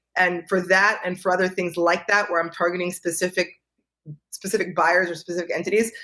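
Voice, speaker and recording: With a New York accent, a woman speaks at a fairly quick pace in a fairly low pitch, her tone bright and sharp and her intonation monotone and flat. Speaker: real estate analyst. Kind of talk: interview. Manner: fast.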